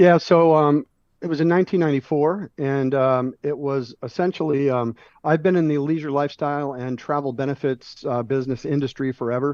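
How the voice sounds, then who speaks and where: With an American accent and an ordinary speaking voice, a man speaks at a fairly quick pace with fairly even intonation. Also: fairly high pitch for a man. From South Florida. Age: 60s. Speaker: business owner. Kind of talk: interview. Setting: studio.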